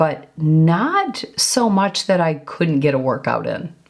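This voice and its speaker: A woman talks very slowly and with lively intonation against noticeable background noise. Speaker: lifestyle and fitness vlogger. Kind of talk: casual vlog talk. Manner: conversational with fillers.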